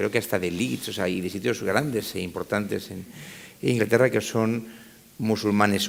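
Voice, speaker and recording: Vocal fry runs through the voice, and its pitch varies in an ordinary way. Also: man. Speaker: politician. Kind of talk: panel discussion. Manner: fast.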